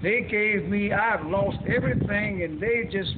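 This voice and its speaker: With light background noise, a man speaks at a fairly slow pace, high in pitch, with ordinary pitch variation. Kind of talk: testimonial. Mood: grateful, emotional. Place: factory. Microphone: camera far.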